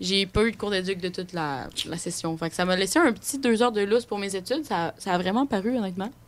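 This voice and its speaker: A woman talks at a very fast pace with hardly any pauses, her medium pitch showing ordinary variation. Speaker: student. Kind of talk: casual chat.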